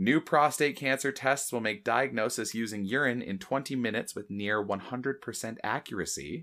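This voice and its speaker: On a very clean recording with a silent background, a man with a Canadian accent and a medium-pitched, bright, sharp tone speaks at a moderate pace with hardly any pauses and ordinary pitch variation. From Oshawa, Ontario, Canada. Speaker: podcast co-host. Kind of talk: casual chat, rant. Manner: animated, sweary.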